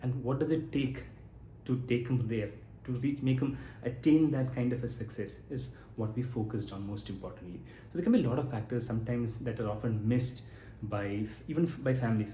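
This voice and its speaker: Against audible room echo, a man with a dark, mellow tone and vocal fry talks at a fairly quick pace with medium pitch and fairly even intonation. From Kerala, India. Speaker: geriatrician. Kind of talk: educational talk. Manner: conversational, some self-corrections.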